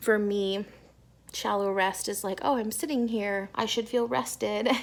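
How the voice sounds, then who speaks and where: Moderate-paced speech from a woman, very cleanly recorded against total silence. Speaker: lifestyle vlogger. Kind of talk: vlog to camera. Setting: co-working space. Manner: whispering.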